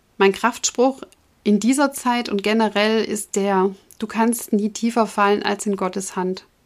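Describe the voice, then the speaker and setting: An unremarkable speaking voice from a woman, fairly high in pitch, with fairly even intonation and a fairly slow pace. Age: 40s. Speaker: podcast host and breast cancer patient. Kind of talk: personal monologue to listeners.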